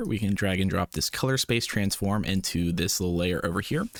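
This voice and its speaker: A man with a very deep, low voice speaks at a very fast pace in a very clean recording with a silent background. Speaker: VFX tutorial creator. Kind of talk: tutorial. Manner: casual.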